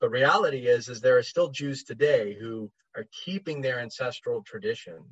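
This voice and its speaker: This man has an American accent and a somewhat breathy voice. His pitch swings very widely. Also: medium pitch for a man, moderate pace. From United States. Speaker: heathen writer and musician. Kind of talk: casual interview chat.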